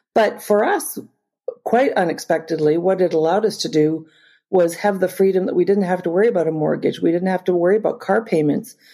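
A woman with a Canadian accent, medium in pitch with a dark, mellow tone, at a fairly quick pace with ordinary pitch variation. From Northern Ontario, Canada. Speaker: humanitarian charity cofounder. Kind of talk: interview, personal testimony.

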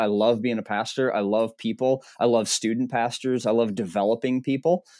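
On a very clean recording with a silent background, a man talks at a fairly quick pace in a medium pitch with fairly even intonation. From Minnesota. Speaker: pastor. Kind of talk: interview testimony. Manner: halting.

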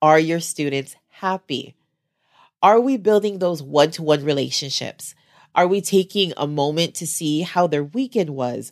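The tone is animated and the intonation lively at a moderate pace. The recording is very clean, with a silent background. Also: woman, very deep, low pitch for a woman. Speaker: podcast host and special education teacher. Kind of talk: solo podcast monologue.

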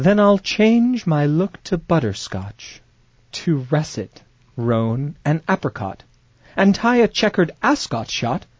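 At a very slow pace, a man with a fairly high pitch speaks with very wide pitch swings. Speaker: comedy podcast host and actor. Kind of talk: casual comedic chat with sketches. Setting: studio. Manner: animated.

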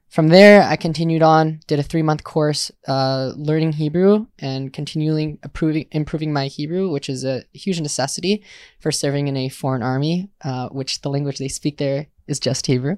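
In a fairly high voice with an American accent, a man talks at a moderate pace with fairly even intonation and hardly any pauses, recorded dry and close with no echo on a very clean, silent background. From US Midwest, Milwaukee, Wisconsin. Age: 20s. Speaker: army veteran and university student. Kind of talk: casual interview. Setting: outdoors on a porch. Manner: halting, many repetitions.

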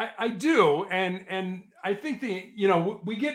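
High in pitch, a man speaks with lively intonation. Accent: American. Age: 60s. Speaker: motivational coach. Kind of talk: interview.

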